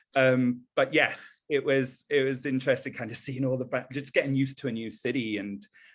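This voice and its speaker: A man with an American accent talks at a medium pitch. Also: quiet background. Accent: British accent with some American drift. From northern England. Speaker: event professional. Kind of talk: podcast interview. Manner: rising intonation at sentence ends; hesitant fillers.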